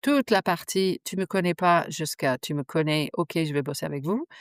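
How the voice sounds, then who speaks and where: A woman with a New Zealand accent, fairly low in pitch with lively intonation, at a fairly slow pace, in a dry, close sound with no echo, on a very clean recording with a silent background. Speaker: digital strategy consultant. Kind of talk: podcast interview answer. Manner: frank, outspoken.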